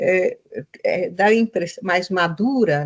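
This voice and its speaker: Lively intonation and a somewhat breathy delivery come through a dry, close sound with no echo. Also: woman. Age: 60s. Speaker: writer and interviewer. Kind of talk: interview. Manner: halting.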